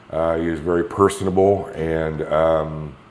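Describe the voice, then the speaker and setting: In an American accent, a man with a very deep, low voice speaks with fairly even intonation, with audible room echo around him. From Kansas. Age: 60s. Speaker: patient. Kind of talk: interview. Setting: rental apartment.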